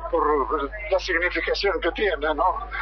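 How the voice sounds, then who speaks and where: Someone speaks with a Rioplatense accent over noticeable background noise. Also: man. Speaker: radio reporter. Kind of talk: interview.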